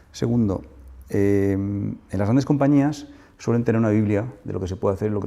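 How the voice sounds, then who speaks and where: A man with a fairly low pitch and a dark, mellow tone talks at a very fast pace. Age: 60s. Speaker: business executive and investor. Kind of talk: interview. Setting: business center office.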